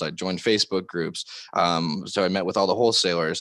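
A man's fairly low voice with a Californian accent and fairly even intonation, at a fairly quick pace against a quiet background. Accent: Californian American. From Southern California. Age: 20s. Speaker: real estate developer. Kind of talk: interview.

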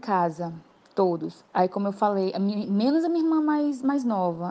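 The woman's fairly high pitch comes at a fairly slow pace. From Brazil, Acre (Tarauacá). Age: 30s. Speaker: visual artist. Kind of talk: interview testimony. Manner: halting, many fillers.

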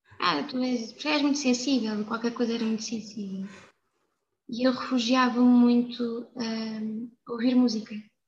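A woman speaks in a high pitch at a fairly slow pace. Her intonation stays fairly even. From Portugal, Alentejo (Évora). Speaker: fado singer and architecture student. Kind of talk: casual chat.

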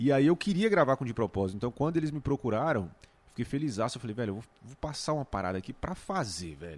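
A man at medium pitch, talking very fast, with vocal fry, very wide pitch swings and big swings in loudness. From Brazil, Goiás near Brasília. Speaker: YouTuber and music entrepreneur. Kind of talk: casual chat.

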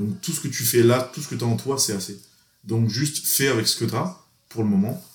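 Somewhat breathy and at medium pitch, a man talks at a fairly quick pace with lively intonation. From France, Grenoble. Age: 20s. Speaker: exchange student. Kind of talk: casual chat.

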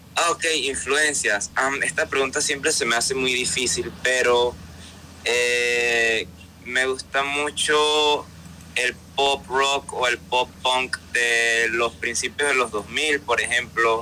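A man speaks very slowly at a medium pitch, with ordinary pitch variation and very even loudness, over music in the background. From Panama. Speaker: singer-songwriter. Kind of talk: interview. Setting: remote call from Panama City. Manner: halting.

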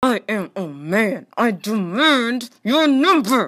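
A female-sounding put-on character voice at a fairly high pitch moves at a very slow pace. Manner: macho, entitled, deep and gruff.

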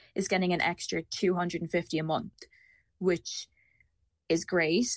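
A woman speaks with an Irish accent at a medium pitch. The sound is dry and close with no echo, over a quiet background. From Ireland. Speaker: university student on Erasmus. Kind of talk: casual chat.

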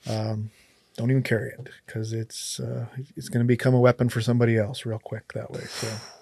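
Somewhat breathy and dark, mellow in tone, a man at a medium pitch speaks at a fairly quick pace with fairly even intonation and big swings in loudness. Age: 40s. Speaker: sheriff. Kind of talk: casual chat. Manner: halting.

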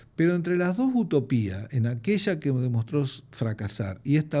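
At a fairly slow pace, a man speaks with lively intonation in a dark, mellow, somewhat breathy tone on a very clean recording with a silent background. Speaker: economist, retired professor. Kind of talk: interview.

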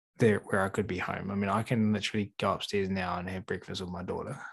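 With a New Zealand accent, a man speaks fairly quickly at a fairly low pitch, his intonation fairly even. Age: 30s. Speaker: animal trainer. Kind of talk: casual chat.

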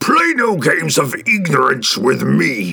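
A man bellows in a put-on character voice, sounding furious. His pace is fairly slow. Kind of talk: commanding, archaic. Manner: furious, bellowing.

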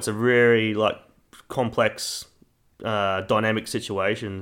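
A man with a Queensland accent speaks in a fairly low pitch with fairly even intonation, in a very clean recording with a silent background. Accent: Queensland Australian. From Queensland, Australia. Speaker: sports performance professional. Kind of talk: casual chat.

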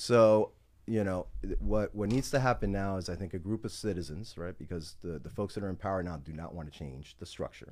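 A man talks fairly quickly with a very deep, low pitch. His pitch variation is ordinary, while his loudness swings widely. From Miami. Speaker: lawyer. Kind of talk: casual political discussion.

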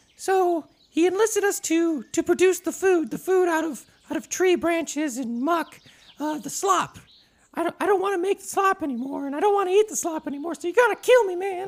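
Put-on character voice, pitched extremely high. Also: moderate pace. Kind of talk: comic tabletop character voice. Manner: weary, pleading, fatalistic.

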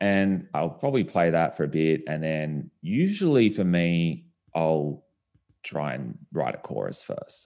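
Over a quiet background, a man with an Australian accent talks at a fairly slow pace in a very deep, low voice. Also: ordinary pitch variation. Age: 30s. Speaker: singer-songwriter. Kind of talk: casual chat.

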